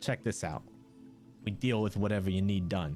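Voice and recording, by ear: Clear music plays behind a man doing a put-on character voice. His pitch is fairly low and his pace moderate.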